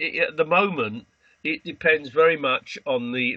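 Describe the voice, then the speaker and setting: A moderate pace with a British accent. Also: man. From Britain. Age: 80s+. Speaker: astrologer, association president. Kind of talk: interview. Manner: hesitant, many fillers.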